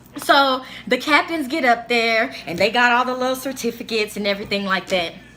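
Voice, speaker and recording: High-pitched woman with lively intonation and an animated tone over noticeable background noise. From Africa. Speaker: YouTuber. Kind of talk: storytelling. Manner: animated casual; stuttering, halting at times.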